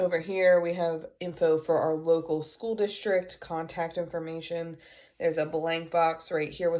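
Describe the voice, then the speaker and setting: Monotone and flat in intonation, a woman speaks at a fairly low pitch and a moderate pace. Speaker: homeschooling mom and homesteader vlogger. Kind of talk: casual tutorial show-and-tell. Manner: casual with filler words.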